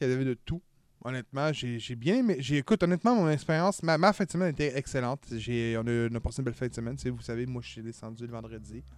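In a normal speaking voice, a man of medium pitch talks at a fairly quick pace with ordinary pitch variation. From Quebec, Montreal area. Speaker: podcast host. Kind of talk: casual chat.

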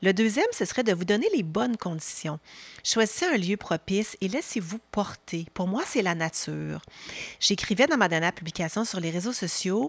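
In a very clean recording with a silent background and a dry, close sound with no echo, a woman uses a normal speaking voice at medium pitch with ordinary pitch variation. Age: 50s. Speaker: podcast host and leadership coach. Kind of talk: newsletter-style podcast monologue. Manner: warm, calm.

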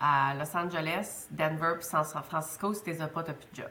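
A woman with a Quebec accent speaks in a fairly low pitch with a bright, sharp tone and fairly even intonation. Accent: Québécois French. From Quebec, Côte-Nord. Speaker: business school director. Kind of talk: interview conversation.

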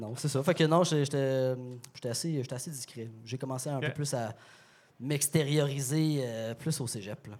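Using a normal speaking voice, a man at a medium pitch talks at a fairly slow pace with fairly even intonation and big swings in loudness. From Quebec, Sherbrooke. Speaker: beer store partner and sommelier. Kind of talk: casual chat.

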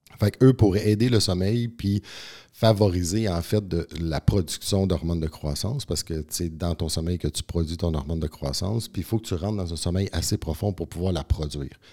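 A dark, mellow tone at a moderate pace, with ordinary pitch variation on a very clean recording with a silent background. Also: man, very deep, low pitch for a man. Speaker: naturopath and strength coach. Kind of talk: podcast interview.

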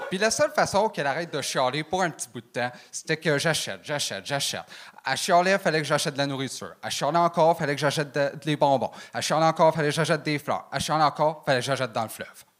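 A man speaking at a very fast pace, on a very clean recording with a silent background. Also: fairly high pitch for a man, ordinary pitch variation. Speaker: comedian. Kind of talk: stand-up. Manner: fast one-liners.

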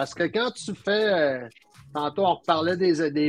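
In a dry, close sound with no echo, a man with a high voice talks at a fairly slow pace with ordinary pitch variation. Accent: Quebec. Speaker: slot car and RC hobbyist. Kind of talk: casual chat.

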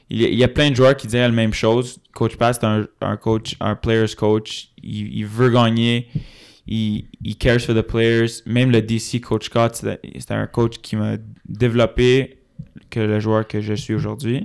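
A man with an English accent, medium pitch and monotone, flat intonation at a very slow pace, on a very clean recording with a silent background. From Laval, Quebec. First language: English (speaking French). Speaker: university football player. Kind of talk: casual interview.

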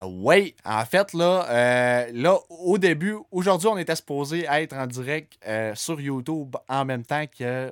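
At a very slow pace, a man with a fairly high pitch speaks in lively intonation over a dry, close sound with no echo. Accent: Quebec. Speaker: podcast host. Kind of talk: casual chat.

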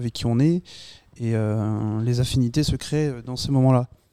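In a dry, close sound with no echo, a man with a medium pitch speaks at a moderate pace in a dark, mellow tone. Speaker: communications student. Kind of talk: casual round-table chat.

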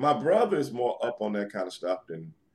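Vocal fry runs through this man's medium-pitched voice as he talks at a fairly quick pace with very wide pitch swings. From New York City. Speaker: retired pro wrestler. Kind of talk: interview.

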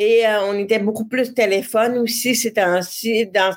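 On a very clean recording with a silent background, a woman with a fairly high pitch speaks at a fairly slow pace in a monotone, flat intonation. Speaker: web communications entrepreneur. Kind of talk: interview, personal testimony.

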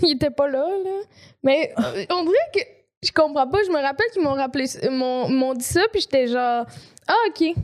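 This woman talks at a fairly slow pace in a high pitch. Her intonation is lively. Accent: Quebec. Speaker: podcast co-host. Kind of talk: casual chat.

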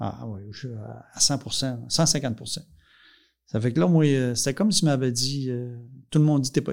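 Over a very clean recording with a silent background, a man of medium pitch and ordinary pitch variation speaks at a fairly slow pace with long, frequent pauses. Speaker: dairy farmer and farm union leader. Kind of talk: casual interview, life story. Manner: halting, many repetitions.

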